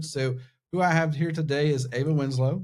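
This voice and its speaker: A man talks with a Southern US accent at a fairly high pitch. His voice is somewhat breathy, with fairly even intonation. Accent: Southern American. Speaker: podcast host. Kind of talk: podcast interview. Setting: studio.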